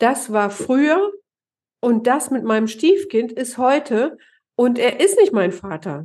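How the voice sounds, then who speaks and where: Her pace is very slow, with long, frequent pauses. The woman's high voice makes very wide pitch swings. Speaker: stepfamily therapist and author, podcast co-host. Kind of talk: conversational podcast discussion. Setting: home office, online recording.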